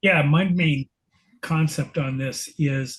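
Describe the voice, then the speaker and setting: A somewhat breathy man with a fairly high pitch speaks at a very slow pace. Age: 60s. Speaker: book club member. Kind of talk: casual group discussion.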